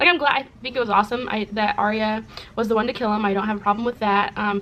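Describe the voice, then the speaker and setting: Over noticeable background noise, the speech runs at a very fast pace. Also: woman. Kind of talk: casual talk to camera.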